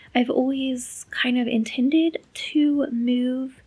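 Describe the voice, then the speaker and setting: Here a woman speaks in a high voice at a very slow pace. Her intonation is fairly even. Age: 30s. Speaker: language learning vlogger. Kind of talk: personal vlog diary. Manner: flat, low-energy.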